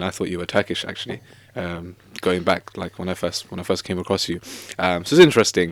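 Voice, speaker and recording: A man with a non-native accent at a very fast pace, in a very clean recording with a silent background. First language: not Arabic. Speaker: podcast host. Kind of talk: casual interview.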